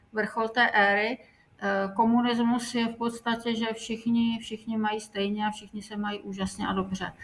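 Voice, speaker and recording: At a moderate pace, a woman speaks in a somewhat breathy, fairly high voice with monotone, flat intonation. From Czechoslovakia. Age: 60s. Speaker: eyewitness interviewee. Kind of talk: interview.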